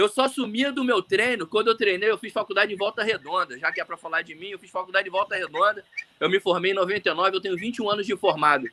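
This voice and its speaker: A man with a high pitch talks at a very fast pace in a raised, projected voice, with ordinary pitch variation and big swings in loudness. Noticeable background noise is present. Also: dry, close sound with no echo. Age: 40s. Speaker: orthopedic surgeon and swimmer. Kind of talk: casual chat. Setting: live video call. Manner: talkative.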